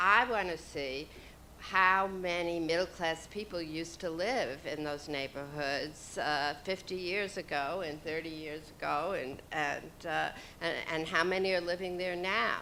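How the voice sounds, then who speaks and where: Fairly low in pitch for a woman, this voice has a bright, sharp tone and an American accent. She speaks at a fairly slow pace with ordinary pitch variation. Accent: New York accent, deepening. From New York. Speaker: panelist. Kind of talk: panel discussion.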